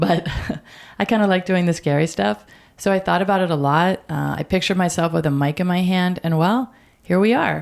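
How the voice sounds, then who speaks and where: A fairly low-pitched woman with an unremarkable speaking voice, fairly quick and with ordinary pitch variation, on a very clean recording with a silent background. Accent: American. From US, Baltimore area. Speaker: podcast co-host. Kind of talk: scripted podcast trailer.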